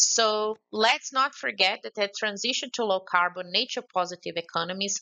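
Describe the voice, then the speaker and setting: The speaker has a Brazilian accent and talks at a moderate pace. Pitch variation is ordinary. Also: woman. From Brazil, Belo Horizonte. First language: Portuguese. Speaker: conference speaker. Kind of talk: prepared remarks. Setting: remote contribution to a conference session. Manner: halting.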